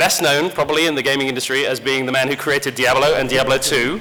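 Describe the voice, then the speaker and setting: Over noticeable background noise, a man with an English accent talks at a fairly high pitch. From rural England. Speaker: games industry community director, panel moderator. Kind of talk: convention panel moderation. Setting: stage with audience. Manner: casual, joking.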